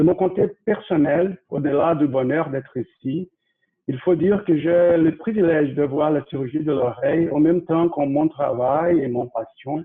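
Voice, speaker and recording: A man's fairly high voice, fairly slow in pace, with ordinary pitch variation. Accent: Brazilian. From Brazil. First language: Portuguese (speaking French). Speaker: ear surgeon. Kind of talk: lecture. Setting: video call. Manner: halting.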